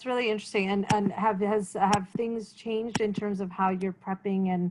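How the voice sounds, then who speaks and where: A woman of medium pitch with a Canadian accent has an ordinary speaking voice, moving at a moderate pace with fairly even intonation. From Canada. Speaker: interview series host for a newcomer support organization. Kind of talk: interview.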